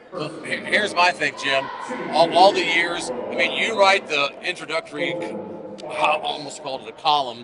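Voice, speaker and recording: A loud voice speaks at a moderate pace with ordinary pitch variation over noticeable background noise. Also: man, high pitch for a man. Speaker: podcast co-host and former radio broadcaster. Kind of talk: live podcast chat. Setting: live show in a gymnasium during a tournament.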